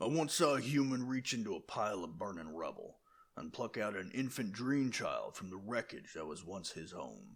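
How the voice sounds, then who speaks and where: A man uses a put-on character voice. His pitch sits in the medium range. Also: moderate pace. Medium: read story. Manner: grave, intense.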